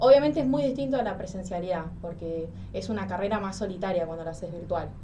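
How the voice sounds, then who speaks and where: Talking at a very fast pace with lively intonation, a medium-pitched woman swings widely in loudness amid audible room echo and noticeable background noise. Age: 20s. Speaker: psychology student. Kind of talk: interview.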